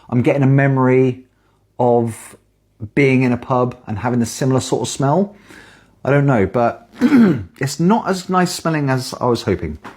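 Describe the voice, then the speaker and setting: With a British accent, a woman speaks in a very deep, low pitch and a dark, mellow tone, her intonation lively. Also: moderate pace. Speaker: beer reviewer. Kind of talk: casual video review. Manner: quiet.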